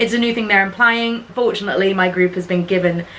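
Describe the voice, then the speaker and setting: A woman with a British accent, ordinary pitch variation and a fairly quick pace, amid noticeable background noise. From UK. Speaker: cruise ship singer and vlogger. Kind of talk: casual vlog.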